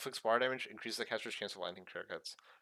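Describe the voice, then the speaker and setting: A man speaks in a bright, sharp tone. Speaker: gaming YouTuber. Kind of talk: game update review. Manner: halting, many fillers.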